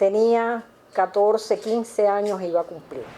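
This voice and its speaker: A woman speaks very slowly in a dark, mellow tone. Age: 70s. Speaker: retired literacy volunteer teacher. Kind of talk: interview testimony. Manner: hesitant with fillers.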